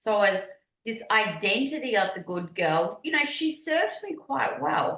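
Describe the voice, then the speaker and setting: At a moderate pace, a woman with an Australian accent talks in a fairly high pitch, making very wide pitch swings. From Australia, Melbourne. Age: 50s. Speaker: business and mindset coach. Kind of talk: podcast interview.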